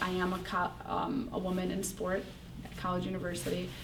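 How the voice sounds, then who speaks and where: Audible room echo and noticeable background noise fill the recording. Through them, a woman talks at a moderate pace. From Palestine. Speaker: student athlete. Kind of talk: interview. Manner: hesitant, many fillers.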